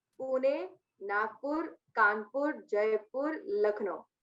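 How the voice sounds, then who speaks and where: This is a woman speaking. Her voice is high in pitch. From Mumbai, India. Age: 20s. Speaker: radio jockey. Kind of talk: interview answer.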